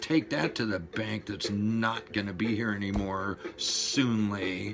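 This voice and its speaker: Over noticeable background noise, a man with an American accent talks at a very slow pace, fairly low in pitch with ordinary pitch variation. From Los Angeles, California. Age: 60s. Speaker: veteran video blogger. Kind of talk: fired-up monologue rant. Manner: animated, profane.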